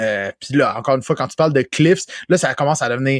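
With a Quebec accent, a man speaks at a fairly quick pace in a dry, close sound with no echo. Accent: Québécois French. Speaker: video game podcast host. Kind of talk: casual chat.

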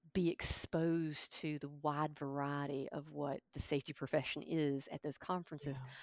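Recorded dry and close with no echo and a silent background, a woman speaks at a moderate pace in a very deep, low pitch with monotone, flat intonation. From Kentucky. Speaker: safety professional. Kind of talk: interview.

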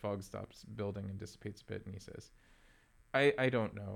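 Fairly even intonation runs through the speech. It comes from a man. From Philadelphia, US. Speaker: technical theatre professional and activist. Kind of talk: interview conversation. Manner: halting with many fillers.

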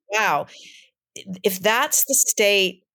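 On a very clean recording with a silent background, a woman speaks with an American accent and ordinary pitch variation. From Michigan, US Midwest. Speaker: actor and playwright. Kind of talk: casual interview chat.

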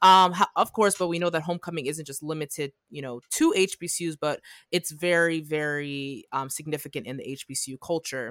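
A woman with a very deep, low voice and big swings in loudness, on a very clean recording with a silent background. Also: ordinary pitch variation, dry, close sound with no echo. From North Jersey. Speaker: medical student podcast co-host. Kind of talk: casual chat.

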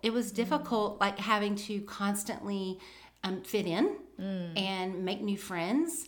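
A woman with a Southern US accent speaks at a medium pitch. She goes at a very slow pace with ordinary pitch variation. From US South. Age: 50s. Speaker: veteran homeschool mom. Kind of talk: casual interview chat.

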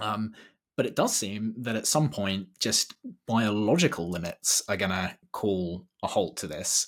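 Using a plain, everyday voice, a man speaks at a fairly slow pace with a fairly low pitch and ordinary pitch variation. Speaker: podcast host. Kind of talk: interview, introduction then conversation.

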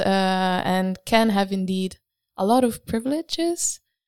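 Recorded very cleanly against a silent background, a woman with an Italian accent speaks at a medium pitch and a fairly slow pace. The sound is dry and close, with no echo. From Italy. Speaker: graphic design student. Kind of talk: casual chat. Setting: studio.

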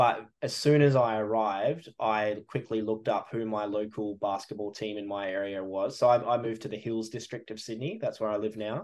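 With an Australian accent, a man speaks at a fairly quick pace with hardly any pauses, a fairly low pitch and fairly even intonation, against a quiet background. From Western Australia, rural wheatbelt. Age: 30s. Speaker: sports photographer. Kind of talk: casual chat.

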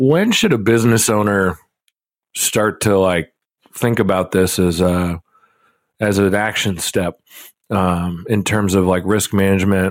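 With a Midwestern accent, a man speaks at a fairly slow pace in a very deep, low pitch, taking long, frequent pauses while his loudness stays very even and his intonation fairly even. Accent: general Midwestern American. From Nebraska, US Midwest. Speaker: podcast co-host, financial advisor. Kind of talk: casual chat.

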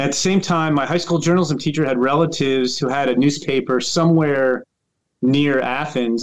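With an American accent, a man speaks in an ordinary speaking voice at a fairly high pitch, a fairly quick pace and fairly even intonation. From US, Northern Virginia. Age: 50s. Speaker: baseball writer. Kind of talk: interview.

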